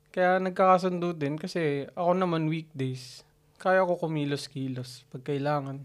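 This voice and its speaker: Speaking quietly at a moderate pace, a man with a fairly high pitch uses ordinary pitch variation. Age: 30s. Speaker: podcast co-host. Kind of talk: casual chat. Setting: home recording. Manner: quiet, reserved.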